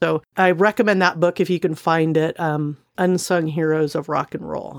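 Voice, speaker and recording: On a very clean recording with a silent background and a dry, close sound with no echo, a woman with a fairly low voice speaks at a fairly slow pace with fairly even intonation, an ordinary speaking voice. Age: 40s. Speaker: podcast co-host. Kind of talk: casual chat.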